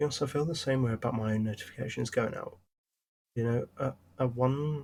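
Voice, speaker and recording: A man speaks at a medium pitch and a fairly quick pace. His intonation stays fairly even, and his voice is somewhat breathy. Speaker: gaming streamer. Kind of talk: casual livestream chat. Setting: livestream. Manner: rambling, hesitant with fillers.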